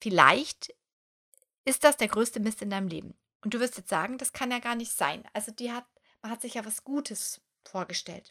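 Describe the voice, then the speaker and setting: A woman with a fairly high pitch and a bright, sharp, animated tone speaks at a moderate pace with ordinary pitch variation and long, frequent pauses. Her loudness swings widely, and the sound is dry and close with no echo. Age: 30s. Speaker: podcast host and coach. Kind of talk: motivational monologue.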